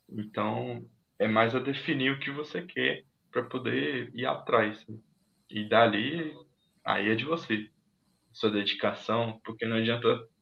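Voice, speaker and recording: A man with a medium-pitched voice talks at a fairly slow pace, with ordinary pitch variation and long, frequent pauses. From Minas Gerais, Brazil. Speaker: technology professional. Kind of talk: casual interview on a livestream.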